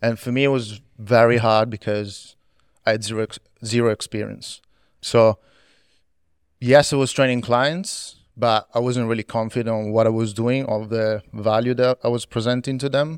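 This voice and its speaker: Dry and close with no echo, on a very clean recording with a silent background, a man has an unremarkable speaking voice, medium in pitch, with fairly even intonation at a moderate pace. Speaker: fitness coach.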